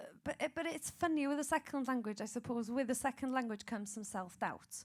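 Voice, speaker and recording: In a Welsh accent, a woman with a high pitch speaks at a moderate pace with ordinary pitch variation. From Wales. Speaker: singer and radio presenter. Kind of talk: panel discussion.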